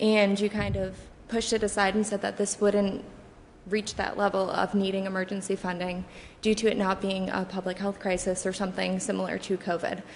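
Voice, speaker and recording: A soft-spoken woman talks at a fairly quick pace. Her intonation is monotone and flat. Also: medium pitch for a woman. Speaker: public commenter. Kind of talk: public comment at council meeting. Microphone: too quiet, far from the microphone.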